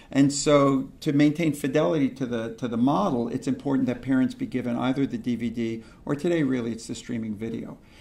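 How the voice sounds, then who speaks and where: Heard with audible room echo, a man speaks at a fairly quick pace and medium pitch in a dark, mellow tone. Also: ordinary pitch variation. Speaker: pediatrician and lecturer. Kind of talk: lecture. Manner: fast.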